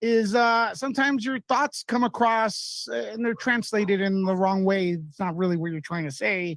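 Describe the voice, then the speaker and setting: A high-pitched man at a moderate pace with hardly any pauses, in a dry, close recording with no echo. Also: lively intonation. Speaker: caller. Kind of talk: call-in discussion. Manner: animated.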